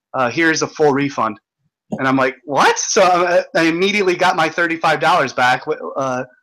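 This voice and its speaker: His tone bright and sharp, a man talks at a fairly quick pace with a fairly high pitch and ordinary pitch variation. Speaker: livestream host. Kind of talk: casual chat. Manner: halting, stumbling.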